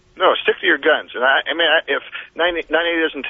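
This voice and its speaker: A man at a fairly quick pace. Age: 60s. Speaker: caller. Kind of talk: casual chat. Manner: halting.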